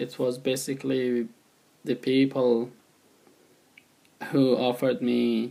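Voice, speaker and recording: Dark and mellow, a medium-pitched male voice speaks very slowly in monotone, flat intonation, broken by long, frequent pauses. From Afghanistan. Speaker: refugee. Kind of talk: testimony. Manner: halting.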